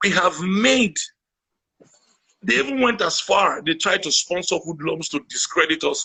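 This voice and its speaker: A man's raised, projected voice, high-pitched, bright and sharp in tone, with lively intonation, a fairly slow pace and long, frequent pauses. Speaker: guest, activist. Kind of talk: interview conversation. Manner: animated.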